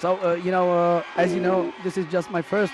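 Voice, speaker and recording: A man speaks at a high pitch with a Hungarian accent. Noticeable background noise is present. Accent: non-native English, Hungarian. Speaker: judo expert co-commentator. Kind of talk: live sports commentary. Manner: halting, many hesitations.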